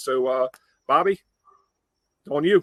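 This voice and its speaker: An American accent with ordinary pitch variation, dry and close with no echo. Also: man. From Delmarva, US Mid-Atlantic. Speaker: webcast host. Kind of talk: casual webcast chat.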